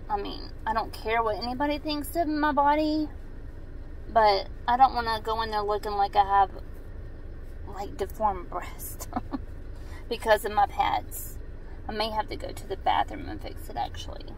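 A woman speaks at a high pitch with very wide pitch swings and long, frequent pauses. The sound is dry with no echo, with light background noise. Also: moderate pace, big swings in loudness. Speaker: mom fitness vlogger. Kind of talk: casual vlog chat. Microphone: phone near.

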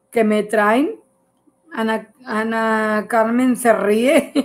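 Very slowly, a woman speaks with fairly even intonation at a fairly high pitch. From Mexico, Nuevo León. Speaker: home cook; home cook livestreamer. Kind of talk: livestream cooking show. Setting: live stream. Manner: chatty. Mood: warm, relaxed, laughing. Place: kitchen. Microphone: phone near.

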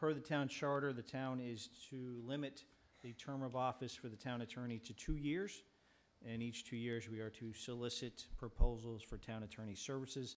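A man at a medium pitch, with fairly even intonation and a moderate pace. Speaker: town manager; town official presenting to council. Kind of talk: formal staff report to council. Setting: council chamber, public meeting. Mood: calm, businesslike. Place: hall.

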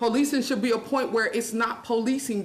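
A woman with a fairly high pitch is heard over noticeable background noise, with audible room echo around her voice. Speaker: public commenter, juvenile corrections worker. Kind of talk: public comment at council meeting. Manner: fast.

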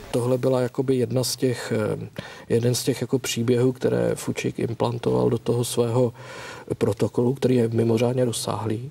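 A man at a fairly quick pace in a monotone, flat intonation. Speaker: historian; guest. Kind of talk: documentary discussion. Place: studio.

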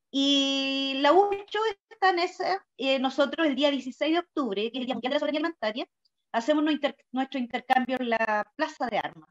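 Against a quiet background, a woman with a Chilean accent speaks at a moderate pace in a high voice with lively intonation. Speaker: community garden organizer. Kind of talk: presentation. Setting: video call. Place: home room. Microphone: video call.

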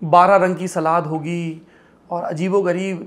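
The man's voice sits high. His delivery is flat and monotone. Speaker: interview host. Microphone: lapel.

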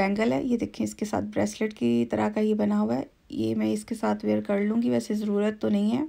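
Very wide pitch swings and very even loudness mark this dark, mellow tone at a moderate pace. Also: woman, very deep, low pitch for a woman. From Pakistan. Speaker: lifestyle vlogger. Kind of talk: shopping haul vlog. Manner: chatty, relaxed. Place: home room. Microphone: phone near.

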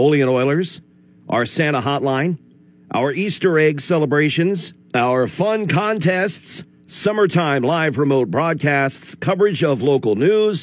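A normal speaking voice from a man, fairly high-pitched, with ordinary pitch variation. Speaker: radio station staff member reading a sign-off statement. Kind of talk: radio station farewell announcement.

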